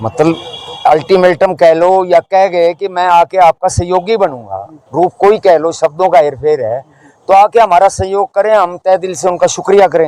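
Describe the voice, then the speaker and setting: High-pitched man's voice with a dark, mellow tone, ordinary pitch variation, and a dry, close sound without echo. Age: 70s. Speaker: elderly protester on hunger strike. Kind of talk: street interview.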